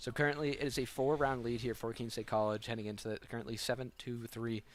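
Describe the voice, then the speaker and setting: The recording is very clean, with a silent background. A man speaks very fast at a medium pitch with fairly even intonation. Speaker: esports caster. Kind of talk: live commentary.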